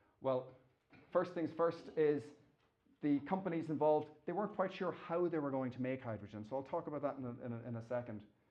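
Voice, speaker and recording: The speaker has an Irish accent and talks at a very fast pace. Pitch varies in an ordinary way. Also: man, fairly high pitch for a man. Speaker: engineering professor. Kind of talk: lecture. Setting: stage with audience. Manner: halting.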